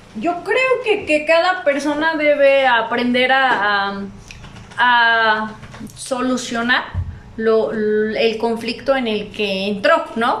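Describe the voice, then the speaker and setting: Amid noticeable background noise and audible room echo, a woman with a high pitch talks at a very slow pace with lively intonation. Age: 20s. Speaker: entrepreneur, gym owner and PE teacher. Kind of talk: casual chat.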